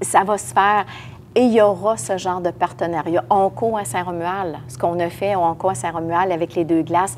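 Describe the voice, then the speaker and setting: Using a normal speaking voice, a woman with a fairly low pitch talks at a moderate pace, with lively intonation and big swings in loudness. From Quebec, Lévis area. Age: 60s. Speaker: municipal politician, mayoral candidate. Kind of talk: interview. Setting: podcast recording.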